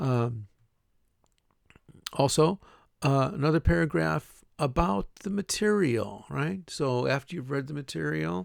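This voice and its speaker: A man talks at a fairly slow pace with long, frequent pauses and a fairly high pitch. His pitch swings very widely, and the sound is dry and close with no echo. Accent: Chicago. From Chicago, US Midwest. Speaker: university English teacher. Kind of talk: recorded class introduction lecture. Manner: casual with many fillers and repetitions.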